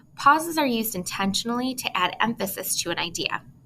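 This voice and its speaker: Vocal fry runs through a bright, sharp tone with lively intonation at a fairly quick pace. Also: woman. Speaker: college instructor. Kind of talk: lecture. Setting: recorded video lecture.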